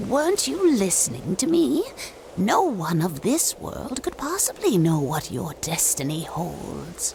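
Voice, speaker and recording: The voice is a cartoonish character, delivered at a fairly slow pace. Clear background noise runs underneath. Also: man. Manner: formal, earnest.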